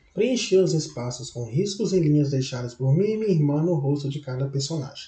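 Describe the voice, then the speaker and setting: A normal speaking voice from a man with a fairly high pitch and lively intonation, at a moderate pace. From Minas Gerais, Brazil. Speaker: university student. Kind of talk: reading of own autobiographical text.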